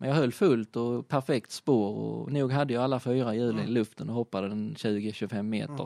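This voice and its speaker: With a dark, mellow tone and medium pitch, a man speaks at a moderate pace with hardly any pauses, the sound dry and close with no echo and the background quiet. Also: ordinary pitch variation. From southern Sweden (Skåne, Kristianstad area). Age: 30s. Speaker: rally driver and motorsport retailer. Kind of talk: casual interview.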